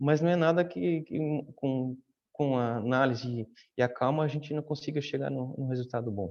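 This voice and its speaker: This man has a medium-pitched voice. His pitch varies in an ordinary way. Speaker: data protection officer. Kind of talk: panel discussion. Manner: fast; halting, many fillers.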